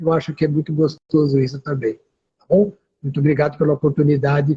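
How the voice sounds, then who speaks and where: At a fairly quick pace, a man speaks with a fairly high pitch, a dark, mellow tone that is somewhat breathy, and fairly even intonation. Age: 70s. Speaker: condominium manager. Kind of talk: interview.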